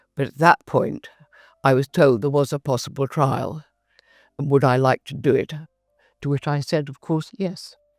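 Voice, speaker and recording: Over music in the background, the voice moves at a moderate pace with fairly even intonation, big swings in loudness, long, frequent pauses and a dry, close sound with no echo. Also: woman, very deep, low pitch for a woman. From England. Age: 80s+. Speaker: cancer patient. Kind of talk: testimony.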